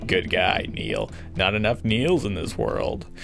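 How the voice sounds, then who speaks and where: With clear music in the background, a man puts on a gruff, gravelly character voice, fairly low in pitch and at a fairly slow pace. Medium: game stream. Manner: gruff, terse.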